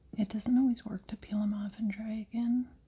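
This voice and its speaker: The tone is calm. The speaker is soft-spoken. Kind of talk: ASMR tutorial, soft-spoken narration. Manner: soft-spoken, calm, slow, quiet.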